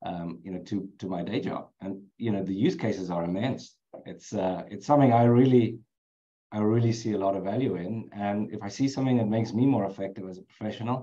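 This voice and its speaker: Speaking at a fairly quick pace with a South African accent, a man has a dark, mellow tone and a fairly low pitch with ordinary variation. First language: Afrikaans. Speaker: HR executive. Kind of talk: webinar interview.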